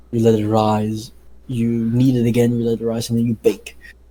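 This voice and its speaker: This man has a medium pitch and a dark, mellow tone. His intonation is monotone and flat. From Netherlands. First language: Dutch. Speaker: podcast co-host, pastry chef. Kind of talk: casual chat. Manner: halting, many fillers.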